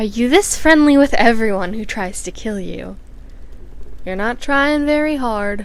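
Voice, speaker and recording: Using a raspy, put-on character voice, a woman speaks at a moderate pace with fairly high pitch. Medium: read story. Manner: stiff, oddly shaped phrasing.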